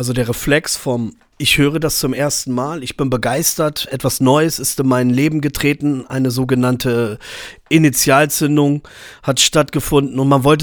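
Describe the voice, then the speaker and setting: At a fairly slow pace, an unremarkable speaking voice comes through on a very clean recording against a silent background. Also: man. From Germany, Braunschweig. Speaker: podcast host and rapper. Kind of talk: solo monologue.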